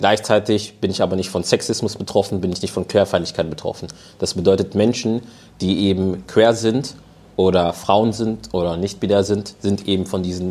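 The man's voice sits fairly low with ordinary pitch variation. He keeps a moderate pace. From Germany. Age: 20s. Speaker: panel guest. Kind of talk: live panel discussion. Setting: stage with audience.

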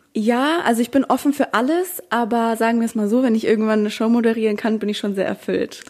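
At a very fast pace and with hardly any pauses, a woman is talking. Her voice sits fairly high and shows ordinary pitch variation. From Bavaria, small town. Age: 20s. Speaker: social media creator and student. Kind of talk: casual interview chat.

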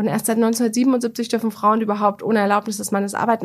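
A woman talks at a fairly quick pace in a normal speaking voice. Her pitch is fairly high and her intonation fairly even. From Bavaria, Germany (Bamberg). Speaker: media executive and author. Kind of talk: interview.

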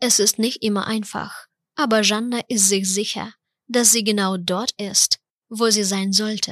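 A woman's medium-pitched voice with a Ukrainian accent, at a fairly slow pace, in a monotone, flat intonation, with a dry, close sound and no echo. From Ukraine. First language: Ukrainian (speaking German). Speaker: podcast host. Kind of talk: scripted narration.

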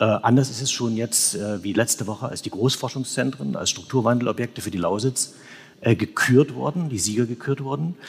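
With a somewhat breathy tone, this man's intonation rises and falls in a lively way. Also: medium pitch for a man. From Saxony. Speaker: newspaper correspondent. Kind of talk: live panel discussion. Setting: church with live audience.

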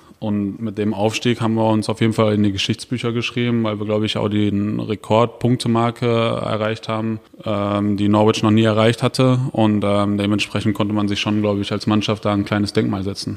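At a fairly quick pace, a man with a fairly low pitch speaks in a monotone, flat intonation. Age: 30s. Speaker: professional footballer. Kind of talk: interview. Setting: stadium.

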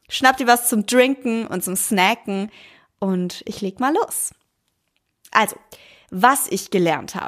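A woman talks at a very slow pace in a fairly high voice with lively intonation, recorded very cleanly against a silent background. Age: 20s. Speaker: podcast host. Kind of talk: solo monologue podcast.

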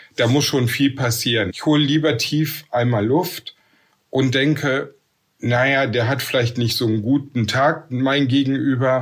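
This man uses an ordinary speaking voice at medium pitch and talks at a fairly slow pace. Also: fairly even intonation. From Ruhr area / Bergisches Land, western Germany. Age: 50s. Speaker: nurse and works council chair. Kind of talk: interview.

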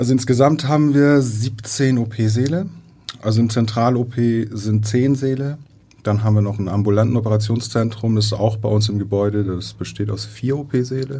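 At a moderate pace, a man with a medium pitch and a dark, mellow, somewhat breathy tone speaks with fairly even intonation amid audible room echo. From Iran, moved to Germany at eleven, raised in Heide. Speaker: operating theatre nursing manager. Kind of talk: interview. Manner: halting, many fillers.

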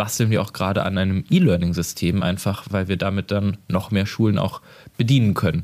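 Recorded very cleanly with a silent background, a man talks at a fairly low pitch with fairly even intonation. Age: 20s. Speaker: sex-education nonprofit worker. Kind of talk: interview. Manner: hesitant, many fillers.

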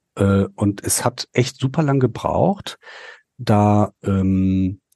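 Against a quiet background, a man's medium-pitched voice has a dark, mellow tone, recorded dry and close with no echo. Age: 40s. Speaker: political staffer and amateur actor. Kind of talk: casual chat.

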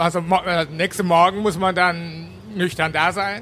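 A man with a Japanese accent, high in pitch, at a moderate pace. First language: Japanese (speaking German). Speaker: university Japan studies professor. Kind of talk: panel Q&A at live event.

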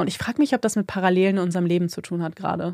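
The recording is very clean, with a silent background. A woman talks at a medium pitch, her intonation fairly even. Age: 30s. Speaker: podcast co-host. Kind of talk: casual chat.

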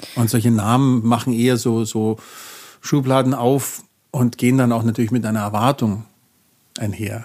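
A man speaks at a moderate pace and medium pitch, flat and monotone, with long, frequent pauses. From Bavaria, near Munich. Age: 50s. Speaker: jazz double bassist and professor. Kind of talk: interview. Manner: halting, many fillers.

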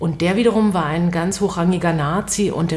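Over noticeable background noise, a woman with a fairly low voice speaks at a moderate pace. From West Berlin. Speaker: radio host and author. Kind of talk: interview conversation.

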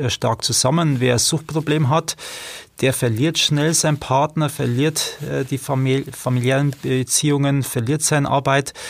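A somewhat breathy man speaks fairly slowly, with a medium pitch and fairly even intonation. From Regensburg, Bavaria. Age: 40s. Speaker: street social worker. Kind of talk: interview.

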